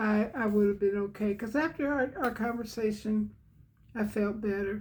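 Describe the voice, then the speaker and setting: With a dark, mellow tone and a fairly high pitch, a woman speaks somewhat breathily at a moderate pace with fairly even intonation. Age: 80s+. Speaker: devotional channel host. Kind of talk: devotional talk. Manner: halting.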